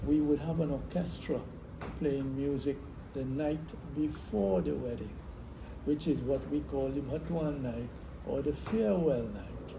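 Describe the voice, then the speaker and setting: With audible room echo, a man talks with ordinary pitch variation and long, frequent pauses. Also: fairly high pitch for a man, fairly slow pace. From Trinidad, South Trinidad, Saint Patrick East. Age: 80s+. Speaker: veteran classical Indian dancer. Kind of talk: interview, life story. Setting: at his home.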